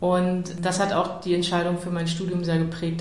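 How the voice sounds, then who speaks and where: Amid noticeable background noise and audible room echo, a woman speaks at a moderate pace with a fairly low pitch. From Lower Saxony, Germany (Salzgitter area). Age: 40s. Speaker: energy expert. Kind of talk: interview.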